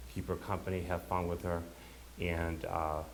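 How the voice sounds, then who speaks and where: A man speaks at a fairly slow pace in a very deep, low voice with vocal fry. His intonation stays fairly even, and audible room echo fills the recording. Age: 60s. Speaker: bereaved son giving eulogy. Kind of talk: eulogy. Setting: funeral service. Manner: halting.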